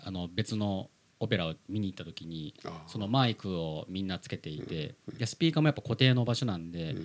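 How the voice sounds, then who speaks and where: With a normal speaking voice, a man talks at a fairly quick pace in a fairly low pitch, using lively intonation and big swings in loudness. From Philippines (Manila), Japanese-Filipino. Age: 30s. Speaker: podcast host. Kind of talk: interview.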